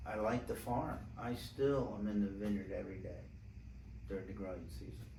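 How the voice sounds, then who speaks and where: Audible room echo surrounds a man with a fairly low, somewhat breathy voice. His intonation is lively. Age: 70s. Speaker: winemaker. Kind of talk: casual chat.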